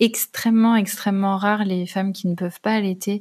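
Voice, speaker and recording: A woman speaks at a medium pitch and a fairly slow pace, in a monotone, flat intonation. The recording is very clean, with a silent background. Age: 20s. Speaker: personal development coach and mother. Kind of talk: testimony. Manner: hesitant, many fillers.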